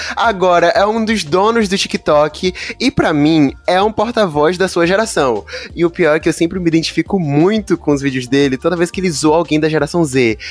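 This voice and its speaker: An animated tone from a man with a high pitch and ordinary pitch variation. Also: moderate pace. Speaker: podcast host. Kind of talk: casual chat.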